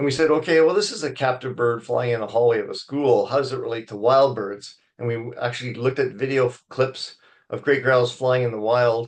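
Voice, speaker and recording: A man with a Canadian accent talks at a fairly quick pace in a medium pitch with fairly even intonation, in an unremarkable speaking voice. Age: 60s. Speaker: wildlife biologist. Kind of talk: lecture. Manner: conversational, with fillers.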